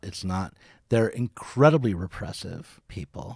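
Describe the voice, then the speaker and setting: On a very clean recording with a silent background, a normal speaking voice moves at a moderate pace with lively intonation. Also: man. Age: 50s. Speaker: podcaster and media company founder. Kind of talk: casual chat.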